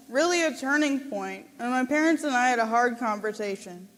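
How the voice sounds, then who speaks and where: A woman with a high pitch and ordinary pitch variation talks at a moderate pace. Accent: Upper Midwest. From Minnesota, Saint Paul. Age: 20s. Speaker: college graduate giving a speech. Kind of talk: prepared speech at a gala. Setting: stage with audience.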